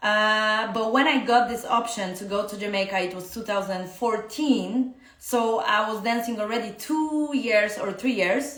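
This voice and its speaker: A woman speaks at a fairly slow pace with a fairly high pitch, ordinary pitch variation and hardly any pauses. Her loudness swings widely, and there is noticeable background noise and audible room echo. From Poland. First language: Polish. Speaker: dance teacher. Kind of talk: casual live-stream talk. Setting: Instagram live stream. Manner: halting, many fillers.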